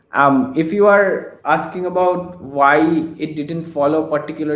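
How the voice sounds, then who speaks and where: A man with a Bengali accent speaks at a fairly high pitch in a room with audible echo. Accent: Indian English (Bengali). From India. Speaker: research engineer presenting AI talk. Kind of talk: Q&A after a technical lecture. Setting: online seminar, remote video call. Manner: halting, many fillers.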